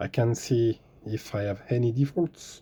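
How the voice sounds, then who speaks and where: A very slow, somewhat breathy delivery with a dark, mellow tone and a French accent. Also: man. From France. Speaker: car DIY tutorial maker. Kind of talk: tutorial. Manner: hesitant, many fillers.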